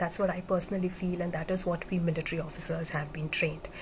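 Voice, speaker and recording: Audible room echo around a woman's fairly quick delivery. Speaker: military officer turned motivational speaker. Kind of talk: live-streamed motivational talk. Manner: halting, with many fillers.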